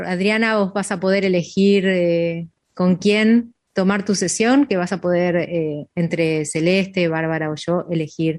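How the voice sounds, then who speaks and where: This woman has a normal speaking voice, pitched fairly low. She talks at a fairly slow pace with fairly even intonation and hardly any pauses. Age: 50s. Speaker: radio show host. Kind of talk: casual chat.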